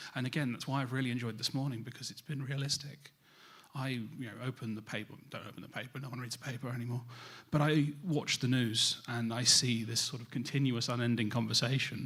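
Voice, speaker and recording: With a British accent, a man speaks very fast at a medium pitch, keeping his intonation fairly even. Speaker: cybersecurity industry speaker. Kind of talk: conference presentation.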